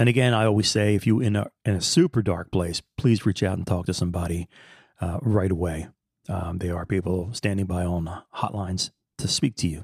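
A man with a very deep, low pitch sounds somewhat breathy at a fairly quick pace. The sound is dry and close, with no echo. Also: ordinary pitch variation, very clean recording, silent background. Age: 60s. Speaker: podcast host. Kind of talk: solo monologue. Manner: casual, halting with fillers.

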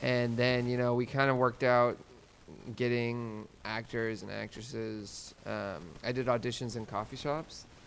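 In a plain, everyday voice, a man with an American accent speaks at a fairly slow pace, medium pitch and fairly even intonation. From Oklahoma. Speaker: student filmmaker. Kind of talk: casual chat.

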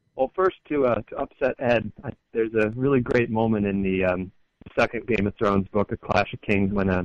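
This man talks at a fairly quick pace with an American accent and ordinary pitch variation. The sound is dry and close, with no echo. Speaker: caller. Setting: phone call.

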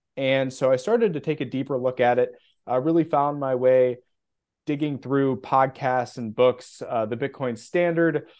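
In an ordinary speaking voice with an American accent, the speaker talks at a moderate pace with fairly even intonation. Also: man, medium pitch for a man. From US Midwest. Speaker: bitcoin custody specialist. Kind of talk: casual interview.

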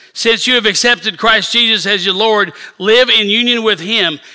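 A man with an American accent speaks at a moderate pace. His voice is raised and projected. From rural Missouri. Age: 60s. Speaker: bishop. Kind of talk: sermon. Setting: church service.

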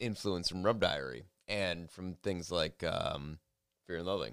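With an American accent, a man speaks in a bright, sharp tone with vocal fry. The recording is very clean with a silent background. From Michigan, US Midwest. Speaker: journalist, foreign correspondent. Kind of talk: casual chat.

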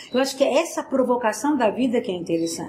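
Noticeable background noise sits behind a woman's high-pitched voice. Her intonation is lively. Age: 60s. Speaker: motivational speaker. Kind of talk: interview. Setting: at her home.

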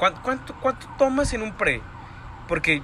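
An animated man at a fairly slow pace, with noticeable background noise. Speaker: podcast co-host. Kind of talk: casual chat.

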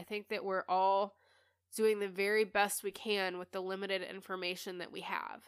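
The pace is moderate. The recording is very clean, with a silent background. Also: woman. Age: 30s. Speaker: podcast host and spiritual coach. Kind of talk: casual solo monologue. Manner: candid, with frequent laughter.

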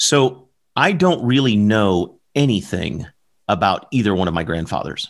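At a fairly slow pace, a man with an American accent speaks at a fairly low pitch with very wide pitch swings. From US South, southern Alabama. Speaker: podcast co-host. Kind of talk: casual chat. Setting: live stream. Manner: animated.

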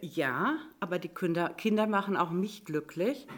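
With lively intonation and medium pitch, a woman talks at a fairly slow pace in a plain, everyday voice. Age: 60s. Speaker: volunteer homework helper. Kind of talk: casual panel chat.

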